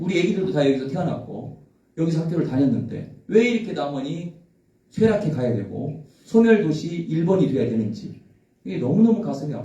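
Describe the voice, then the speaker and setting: A man speaks at a moderate pace in a fairly high, dark and mellow voice with vocal fry and very wide pitch swings. Audible room echo fills the recording. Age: 60s. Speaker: election candidate. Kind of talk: press conference. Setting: press conference.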